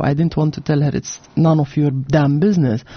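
Speaking at a fairly quick pace with a Levantine Arabic accent, a woman has a very deep, low pitch and a somewhat breathy voice. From Jordan (Amman), Palestinian family. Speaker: author and architect. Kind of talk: interview. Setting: radio studio.

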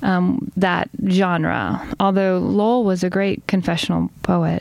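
With an American accent, a woman speaks at a very slow pace with ordinary pitch variation. Noticeable background noise is present. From US South, Chattanooga, Tennessee. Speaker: poet. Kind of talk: interview.

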